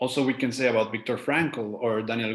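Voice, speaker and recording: Intonation stays fairly even, and there is audible room echo. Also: man. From Mexico. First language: Spanish. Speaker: life coach. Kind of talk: lecture. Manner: halting.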